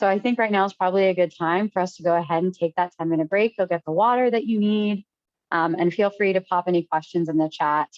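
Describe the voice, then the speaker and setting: A woman's medium-pitched voice at a very fast pace, with ordinary pitch variation and very even loudness. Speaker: trainer. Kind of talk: lecture.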